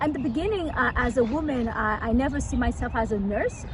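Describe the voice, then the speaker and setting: Against noticeable background noise, a woman speaks in a high pitch with a Haitian accent. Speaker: local politician. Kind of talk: interview. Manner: fast.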